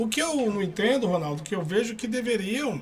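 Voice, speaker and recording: A man talks at a fairly quick pace. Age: 50s. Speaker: security guard and union activist. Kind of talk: interview. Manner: halting, frequent restarts.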